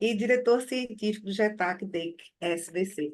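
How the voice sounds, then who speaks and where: A woman talks in an ordinary speaking voice at a fairly slow pace. Her pitch varies in an ordinary way. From Alagoas, Brazil. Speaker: webinar moderator, cardiologist. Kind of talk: webinar moderation.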